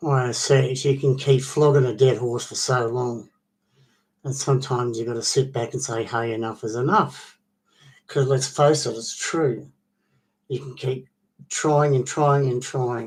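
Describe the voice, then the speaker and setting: A somewhat breathy man's voice of medium pitch, fairly even intonation, and moderate pace. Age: 60s. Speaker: vlogger. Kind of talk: casual monologue. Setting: online video. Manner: halting.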